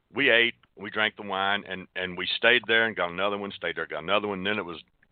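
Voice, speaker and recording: Talking at a very fast pace, a man uses a fairly low pitch. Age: 60s. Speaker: retired Navy veteran. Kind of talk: casual chat. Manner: halting, many fillers and repeats.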